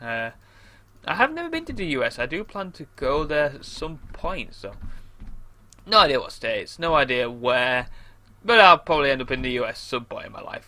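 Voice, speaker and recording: A man speaks with a British accent. Faint music plays in the background. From England. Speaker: gamer. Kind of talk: gameplay commentary. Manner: casual, rambling with fillers. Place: home room.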